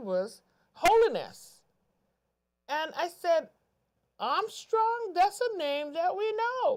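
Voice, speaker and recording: Here a woman speaks with a Virgin Islands accent. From US Virgin Islands (Saint Thomas). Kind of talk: interview. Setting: TV studio, live.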